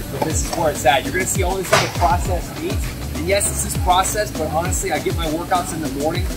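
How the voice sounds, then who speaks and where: Clear music plays behind the voice. A man talks very fast. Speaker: fitness coach. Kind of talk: casual vlog chat. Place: shop. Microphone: phone near.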